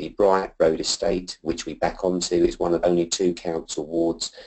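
Very deep, low male voice at a moderate pace against a quiet background. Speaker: school head teacher presenting. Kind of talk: presentation. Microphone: video call.

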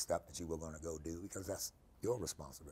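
The man talks very fast. His intonation remains fairly even. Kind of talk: interview answer. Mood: warm, smiling, reflective.

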